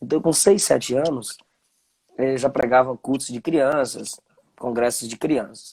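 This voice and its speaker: Speaking at a fairly slow pace, a man with a medium pitch and a dark, mellow tone uses lively intonation. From Bahia, Brazil (Ilhéus). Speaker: preacher, live-stream host. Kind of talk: conversational interview, live stream. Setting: live video stream.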